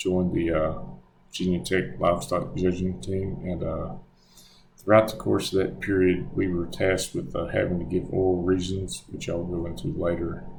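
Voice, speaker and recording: A man with a strong Southern US accent and very deep, low pitch, at a moderate pace with fairly even intonation, amid audible room echo and background music. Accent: thick Southern US. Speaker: graduate student. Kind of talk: presentation. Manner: halting, many fillers.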